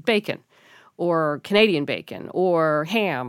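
A woman with an ordinary speaking voice and fairly low pitch, in a very clean recording with a silent background. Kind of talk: casual chat.

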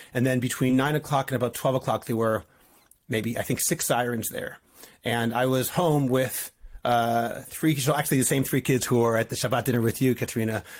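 With a Boston accent, a man at medium pitch talks at a fairly quick pace with fairly even intonation. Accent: American (Boston) English. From US Northeast, Boston. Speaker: rabbi. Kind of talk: interview.

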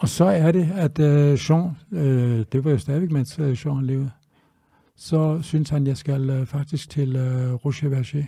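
Somewhat breathy and dark, mellow in tone, the voice moves at a very slow pace with fairly even intonation. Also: man, fairly high pitch for a man. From Denmark, Tønder (Southern Jutland). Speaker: chef. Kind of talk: interview. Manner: halting.

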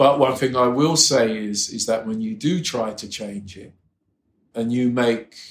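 A man talks at a fairly slow pace. His pitch is medium, and he has a London accent. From England, London. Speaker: music publisher. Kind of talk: interview.

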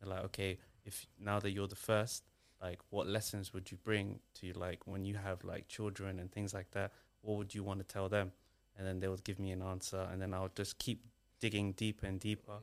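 In a very clean recording with a silent background, a man speaks at a moderate pace in a fairly low, monotone voice with flat intonation. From Somali heritage, raised in Britain. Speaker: author and photographer. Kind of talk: casual interview. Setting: studio.

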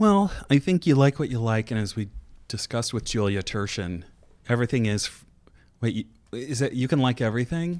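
Speaking at a fairly quick pace with lively intonation, a man uses an unremarkable speaking voice at medium pitch, recorded very cleanly over a silent background. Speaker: podcast host. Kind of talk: casual chat.

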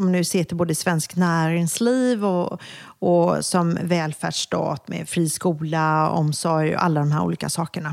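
A woman speaks at a fairly slow pace in a fairly low pitch, with ordinary pitch variation and a plain, everyday voice. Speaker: brand expert. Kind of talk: casual interview.

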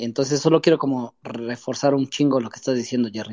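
A man at a fairly high pitch and moderate pace, with a dry, close sound and no echo. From Metepec, State of Mexico. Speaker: listener in reading circle. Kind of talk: casual chat.

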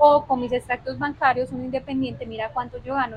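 Her voice is high-pitched. The woman talks at a very fast pace. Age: 20s. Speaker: lawyer and economist. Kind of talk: interview. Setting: on location in Medellín.

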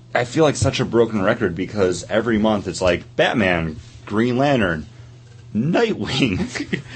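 A man's medium-pitched voice at a fairly slow pace, lively in intonation, with noticeable background noise. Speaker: podcast co-host. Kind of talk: casual chat. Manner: stutters.

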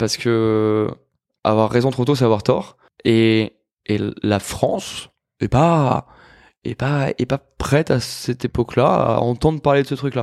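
In a very clean recording with a silent background, a man of medium pitch speaks. His pace is very slow, with long, frequent pauses and ordinary pitch variation. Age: 30s. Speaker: chef and restaurateur. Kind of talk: casual interview conversation.

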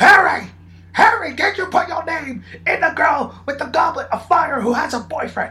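A put-on character voice, high-pitched and at a moderate pace, over light background noise.

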